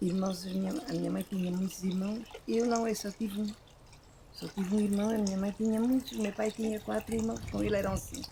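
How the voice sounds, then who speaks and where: Against noticeable background noise, a woman talks at a fairly quick pace and medium pitch with ordinary pitch variation. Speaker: former rural worker. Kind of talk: life story interview.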